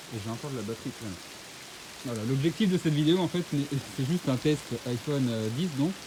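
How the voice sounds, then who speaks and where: Over noticeable background noise, a man speaks at a very fast pace with long, frequent pauses. His pitch is fairly high. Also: lively intonation. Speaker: climber. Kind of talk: casual chat. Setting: outdoors. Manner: loud.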